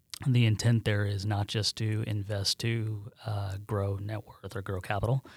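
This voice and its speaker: A man with an American accent speaks in a fairly low, somewhat breathy voice with monotone, flat intonation. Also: very clean recording, silent background. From central New York, near Syracuse. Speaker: management consultant and company co-founder. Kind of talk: casual interview.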